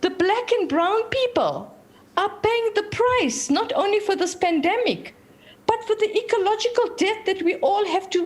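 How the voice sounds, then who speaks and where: Extremely high-pitched woman's voice at a moderate pace, with ordinary pitch variation and very even loudness. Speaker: activist. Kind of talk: panel talk. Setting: video call. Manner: animated.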